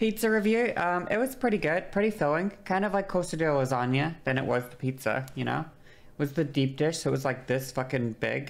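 The voice moves at a fairly quick pace with very wide pitch swings and hardly any pauses. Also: woman, very deep, low pitch for a woman. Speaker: livestreamer. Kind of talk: casual stream chat. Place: home room. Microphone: studio mic.

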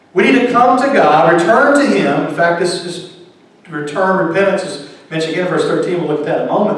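Strong room echo surrounds a man who is shouting. His intonation is lively. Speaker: preacher, pastor. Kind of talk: sermon delivered to a congregation. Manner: calm, measured, non-shouting. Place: church.

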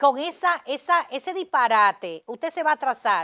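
Projecting a raised voice with a bright, sharp tone, a high-pitched woman moves at a moderate pace through very wide pitch swings in a very clean recording with a silent background. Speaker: politician and lawyer. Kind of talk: interview. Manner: halting, many repetitions.

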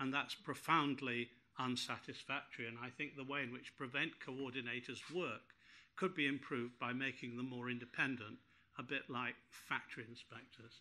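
Bright and sharp in tone, a man speaks at a moderate pace with fairly even intonation. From northern England. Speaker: peer and former terrorism legislation reviewer; panelist. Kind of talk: conference panel talk. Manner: formal. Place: meeting room.

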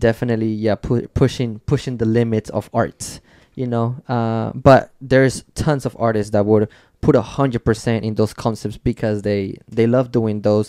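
Against a quiet background, a man's medium-pitched, dark, mellow voice carries fairly even intonation in a dry sound with no echo. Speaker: tattoo artist and podcast host; podcast host. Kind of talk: casual chat. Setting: studio. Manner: loud. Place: studio. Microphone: studio mic.

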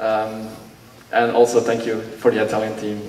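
In a room with audible echo and light background noise, a man with a fairly low pitch speaks at a moderate pace in a monotone, flat intonation. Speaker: youth amateur radio participant. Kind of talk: ceremony speech. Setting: stage with audience. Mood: grateful, warm. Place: hall.

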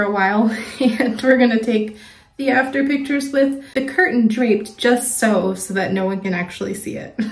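This woman's voice moves through an ordinary amount of pitch variation. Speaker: home makeover vlogger. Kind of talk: casual vlog chat. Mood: relaxed, slightly wary. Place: bathroom. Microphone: phone near.

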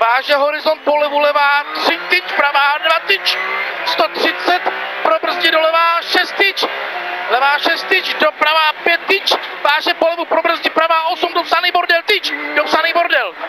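At a fairly slow pace, the speech comes through dry with no echo, with noticeable background noise. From Czech Republic. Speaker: rally co-driver. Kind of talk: rally pace notes read aloud to the driver. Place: car. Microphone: helmet.

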